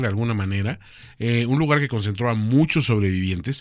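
The recording is very clean and the background silent. It features a man talking at a moderate pace. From Mexico City. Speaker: podcast co-host. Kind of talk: casual chat.

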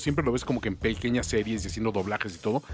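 Somewhat breathy, a man speaks at a very fast pace with a medium pitch. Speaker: radio host. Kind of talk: casual chat. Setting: studio.

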